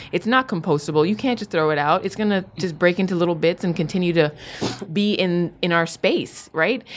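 Using a plain, everyday voice with a fairly low pitch, a woman with an American accent speaks at a fairly quick pace with ordinary pitch variation. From Miami, Florida. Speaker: science TV host. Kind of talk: casual interview chat.

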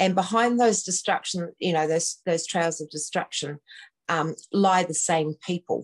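Dry and close with no echo, a woman's fairly low voice moves at a fairly slow pace with ordinary pitch variation. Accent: New Zealand. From New Zealand. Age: 60s. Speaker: activist guest, at-home mum. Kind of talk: live online talk show. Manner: hesitant, many fillers.

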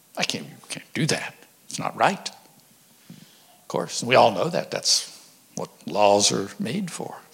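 Whispering at a very slow pace, a man leaves long, frequent pauses, his loudness swinging widely over noticeable background noise. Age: 70s. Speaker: church overseer, visiting preacher. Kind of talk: sermon. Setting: church.

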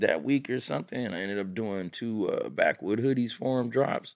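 Using a normal speaking voice with an American accent, a man talks at a moderate pace and medium pitch with ordinary pitch variation. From Pomona, Southern California. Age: 40s. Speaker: clothing brand owner. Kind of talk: casual chat.

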